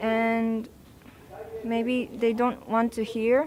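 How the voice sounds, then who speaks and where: Speaking at a very slow pace with a Japanese accent, a woman keeps a monotone, flat intonation. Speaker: protester. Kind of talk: interview. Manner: halting.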